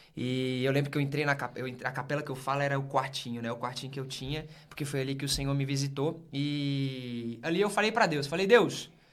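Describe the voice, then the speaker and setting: A man with a fairly high voice speaks with hardly any pauses amid audible room echo. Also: ordinary pitch variation. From northern Minas Gerais, Brazil. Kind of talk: casual podcast interview, faith testimony.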